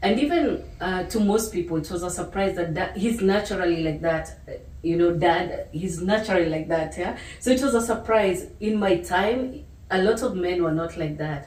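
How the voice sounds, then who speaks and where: With a Kenyan accent, a woman speaks at a moderate pace and medium pitch with ordinary pitch variation, over noticeable background noise and audible room echo. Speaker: author and channel host. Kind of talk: casual chat.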